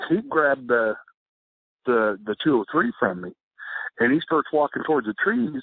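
Here a man talks with a Texan accent. His pitch is medium and his pace moderate. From South Texas. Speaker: law enforcement officer and army veteran. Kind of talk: casual interview storytelling.

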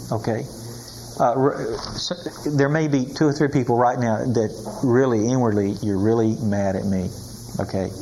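A man talks at a moderate pace and with ordinary pitch variation while noticeable noise fills the background. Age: 80s+. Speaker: Bible teacher. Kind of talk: sermon. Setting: stage with audience.

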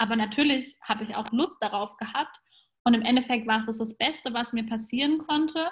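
Talking fairly quickly, a woman shows ordinary variation in her pitch. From Germany, grew up between German and Persian culture. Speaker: podcast host. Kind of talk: casual interview chat.

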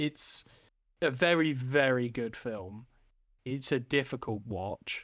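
In a very clean recording with a silent background, a man of medium pitch speaks very slowly with a British accent, using ordinary pitch variation and long, frequent pauses. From UK. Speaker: film podcast co-host. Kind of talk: casual chat.

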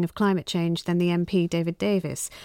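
A woman with a British accent at a moderate pace, in a dry, close sound with no echo. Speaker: radio phone-in presenter. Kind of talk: radio phone-in. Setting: studio.

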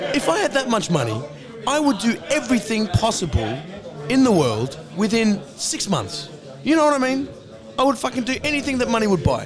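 Against noticeable background noise, a man with a high pitch talks at a fairly quick pace in an animated tone, his pitch swinging very widely. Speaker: podcast host. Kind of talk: casual chat. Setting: bar.

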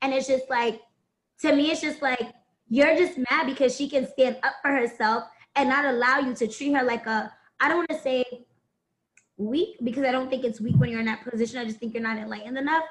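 Her pitch is high, with ordinary variation. The woman speaks at a fairly quick pace. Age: 20s. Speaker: podcast guest. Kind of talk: casual chat.

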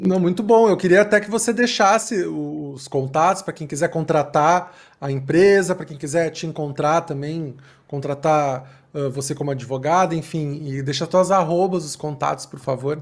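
A fairly high-pitched man at a moderate pace with ordinary pitch variation. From Southern Brazil, Rio Grande do Sul. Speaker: podcast host. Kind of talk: interview. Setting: live stream.

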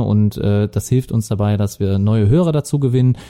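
In a Lower Rhine accent, the voice has a dark, mellow tone, recorded very cleanly against a silent background with a dry, close sound and no echo. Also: man. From Lower Rhine, Germany (Viersen). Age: 30s. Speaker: podcast co-host. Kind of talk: casual chat.

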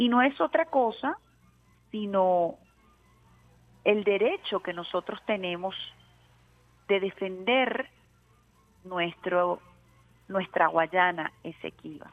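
A woman talks at a very slow pace, leaving long, frequent pauses. Her intonation is lively. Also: medium pitch for a woman. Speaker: radio host. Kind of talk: radio talk show. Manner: animated.

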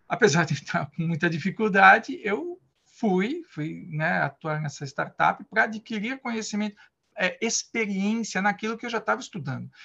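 With a raised, projected voice, a man speaks at a moderate pace, his high pitch carrying a bright, sharp tone and ordinary pitch variation. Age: 50s. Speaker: Scrum Master. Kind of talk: interview. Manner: halting.

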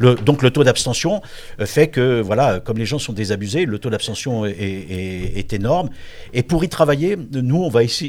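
On a very clean recording with a silent background, a man of medium pitch speaks at a fairly slow pace with lively intonation. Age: 60s. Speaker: politician. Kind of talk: interview. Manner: halting.

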